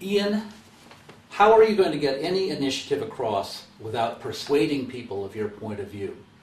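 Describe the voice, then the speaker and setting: Amid noticeable background noise and audible room echo, a speaker with an American accent talks at a moderate pace, with very wide pitch swings and big swings in loudness. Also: man, fairly high pitch for a man. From US. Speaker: communication consultant. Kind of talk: interview. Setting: webcast.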